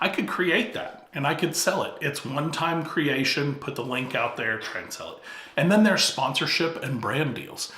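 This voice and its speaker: A man speaks at a fairly high pitch with ordinary pitch variation and a moderate pace. Noticeable background noise and audible room echo are present. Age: 50s. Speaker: YouTube coach. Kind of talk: talking-head tutorial.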